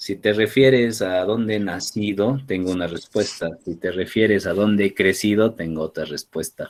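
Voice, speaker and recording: Talking at a moderate pace with hardly any pauses, a man with a fairly low voice shows ordinary pitch variation. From Peru, Arequipa. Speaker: university lecturer. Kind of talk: casual chat.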